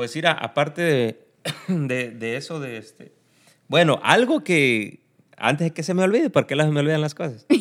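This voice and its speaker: This man's voice sits fairly high, with lively intonation at a moderate pace. The recording is very clean and the background silent. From Mexico, Tierra Caliente (Guerrero). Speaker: podcast co-host. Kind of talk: casual chat.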